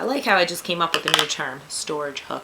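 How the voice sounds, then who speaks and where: Someone speaks with a New York accent over noticeable background noise. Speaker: craft tutorial youtuber. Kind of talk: tutorial. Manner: casual, chatty.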